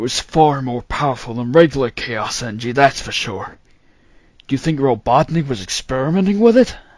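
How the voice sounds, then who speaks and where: Putting on a character voice, a man talks at a fairly quick pace and medium pitch. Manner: terse, gruff.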